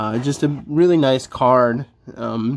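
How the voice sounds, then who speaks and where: Light background noise sits in the recording. Over it, a man talks. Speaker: toy reviewer. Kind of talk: casual unboxing review chat. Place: home room.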